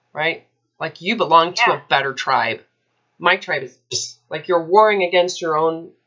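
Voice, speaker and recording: Over a quiet background, a woman with a fairly low pitch speaks at a moderate pace with ordinary pitch variation. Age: 30s. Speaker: eating disorder recovery coach; coach in consult. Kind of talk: one-on-one coaching consultation. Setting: recorded call with a client. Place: home room. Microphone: webcam.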